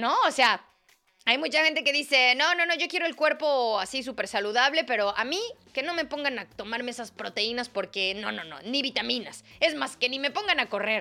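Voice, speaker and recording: A woman with a high pitch speaks at a moderate pace in a bright, sharp and animated tone. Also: lively intonation. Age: 30s. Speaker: wellness podcast host. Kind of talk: casual solo monologue.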